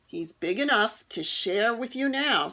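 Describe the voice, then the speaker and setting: A woman puts on a growling character voice, fairly high for a woman. She moves at a moderate pace with lively intonation. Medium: read story.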